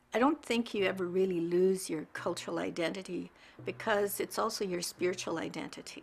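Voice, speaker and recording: Vocal fry runs through this voice, which shows ordinary pitch variation. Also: woman. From Cree reserve, Canada. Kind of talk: interview testimony.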